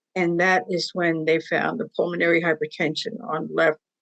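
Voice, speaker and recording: A woman with an unremarkable speaking voice talks at a moderate pace in a fairly low pitch, with ordinary pitch variation. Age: 60s. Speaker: patient advocate. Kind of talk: testimony.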